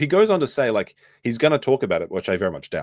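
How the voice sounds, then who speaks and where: Speaking with an Australian accent at a very fast pace and with very wide pitch swings, the voice comes through a very clean recording, silent background, with dry, close sound and no echo. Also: man. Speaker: streamer reacting to another streamer. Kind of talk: live stream commentary. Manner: casual, animated.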